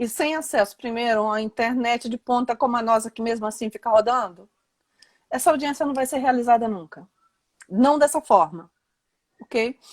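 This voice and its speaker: At a moderate pace, a woman speaks in a high pitch with ordinary pitch variation, the sound dry and close with no echo. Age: 60s. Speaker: lawyer and law professor. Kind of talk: live interview. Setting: Instagram live video call.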